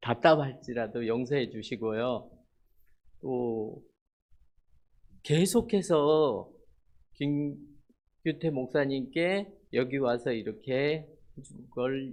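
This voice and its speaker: A man's medium-pitched voice at a very slow pace, with ordinary pitch variation and long, frequent pauses against a quiet background. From South Korea. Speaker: missionary. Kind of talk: sermon. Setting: church. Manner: halting.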